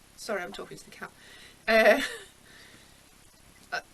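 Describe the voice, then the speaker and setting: A woman's voice amid noticeable background noise. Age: 60s. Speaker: artist and poet. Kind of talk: life story interview. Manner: animated.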